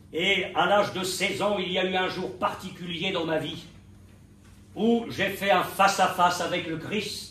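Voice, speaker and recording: Set in audible room echo, a man's high voice comes across bright and sharp. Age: 70s. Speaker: pastor. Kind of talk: sermon. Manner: animated.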